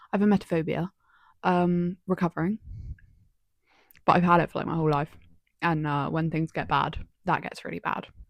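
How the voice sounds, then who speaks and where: Talking at a fairly quick pace with a southern English accent, a woman with a fairly low pitch keeps her intonation fairly even, the sound dry and close with no echo. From southern England, Somerset. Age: 20s. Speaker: vlogger, university student. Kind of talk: casual chat. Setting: home, laptop recording.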